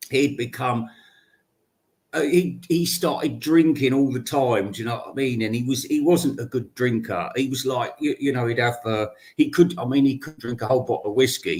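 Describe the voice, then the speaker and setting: A man with a British accent talks at a moderate pace, his medium-pitched, somewhat breathy voice showing ordinary pitch variation. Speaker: podcaster. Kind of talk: casual storytelling monologue. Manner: halting, many false starts.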